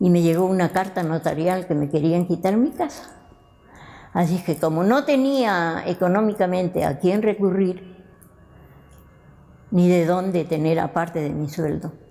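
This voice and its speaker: A woman with a dark, mellow tone and a fairly low pitch speaks at a fairly slow pace with ordinary pitch variation and long, frequent pauses. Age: 80s+. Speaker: retired teacher. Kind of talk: documentary interview.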